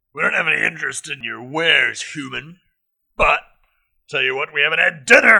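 A man performs a put-on character voice at a fairly quick pace, broken by long, frequent pauses. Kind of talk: gruff. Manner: menacing.

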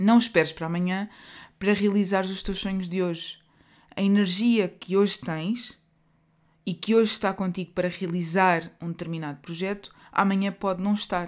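In a European Portuguese accent, the speaker keeps a fairly even intonation at a moderate pace on a very clean recording with a silent background. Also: woman. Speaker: podcast host and author. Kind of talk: reflective monologue.

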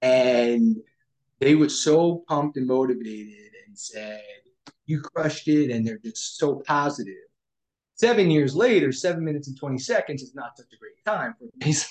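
A man's plain, everyday voice, fairly high in pitch, with lively intonation, big swings in loudness and a moderate pace. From New York. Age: 50s. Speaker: financial planner. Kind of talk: interview.

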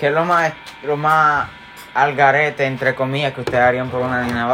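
A man with a Puerto Rican accent speaks at a fairly slow pace in a fairly high voice for a man, with music playing in the background. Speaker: podcast co-host. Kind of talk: casual chat. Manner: animated.

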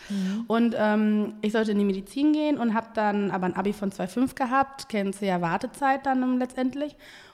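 Hers is an ordinary speaking voice, a woman's at medium pitch with ordinary pitch variation. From Essen, Germany (born in Ghana, moved at age 4). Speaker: entrepreneur and agency founder. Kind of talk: casual interview chat.

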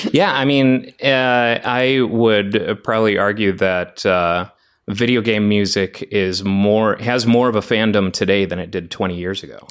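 With an ordinary speaking voice, a man talks fairly slowly at a fairly low pitch and with fairly even intonation. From Arizona. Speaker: podcast host. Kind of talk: casual chat.

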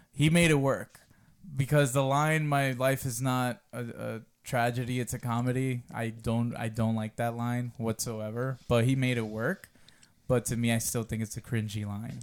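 Recorded very cleanly with a silent background, a man with a plain, everyday voice talks at medium pitch, moderate pace and fairly even intonation. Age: 20s. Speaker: podcast host. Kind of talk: casual chat.

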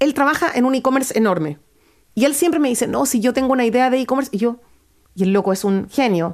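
A woman speaks at a very fast pace in a high pitch, her intonation lively. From Ecuador, Guayaquil. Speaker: photographer and clothing store founder. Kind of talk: interview.

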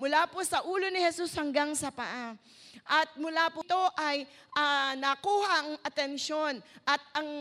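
A woman with a high pitch uses a raised, projected voice and a bright, sharp tone, speaking at a fairly slow pace with ordinary pitch variation. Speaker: preacher. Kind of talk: sermon.

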